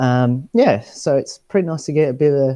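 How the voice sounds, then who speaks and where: In a dry, close sound with no echo and a quiet background, a man speaks in a dark, mellow tone. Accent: Australian. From Australia. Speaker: travel show presenter. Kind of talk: casual chat. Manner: hesitant, many fillers.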